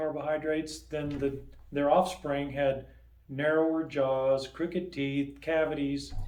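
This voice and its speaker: There is audible room echo and noticeable background noise as a man talks at a fairly slow pace in a fairly high pitch with monotone, flat intonation. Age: 60s. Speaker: dentist. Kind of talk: interview. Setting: sit-down interview. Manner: casual, relaxed.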